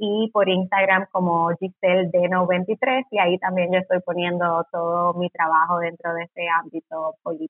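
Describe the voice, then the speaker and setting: Here a woman speaks in an unremarkable speaking voice at a moderate pace, with hardly any pauses. Her intonation is fairly even. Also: fairly low pitch for a woman. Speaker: political scientist. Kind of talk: interview.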